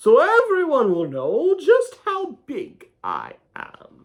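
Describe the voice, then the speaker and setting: A man in a put-on character voice, extremely high-pitched and very slow. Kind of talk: children's picture book read-aloud. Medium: read story. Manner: playful, animated.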